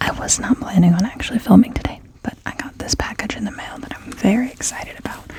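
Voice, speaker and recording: Whispering at a very fast pace, the voice swings widely in loudness against noticeable background noise. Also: woman. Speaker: ASMR tarot reader. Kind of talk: casual talk to camera, ASMR tarot reading. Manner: soft-spoken.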